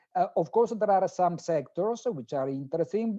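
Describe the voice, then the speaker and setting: Lively intonation carries this voice with an Italian accent. The tone is dark and mellow, and the pace is moderate. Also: man. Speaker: professor, sustainable finance expert. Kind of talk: conference talk. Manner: halting.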